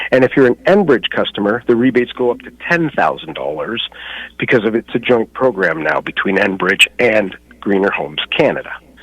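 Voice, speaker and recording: The voice swings very widely in pitch, with vocal fry, at a fairly quick pace. The sound is dry and close, with no echo. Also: man, medium pitch for a man. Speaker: home inspector and energy advisor. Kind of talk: radio interview. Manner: fast.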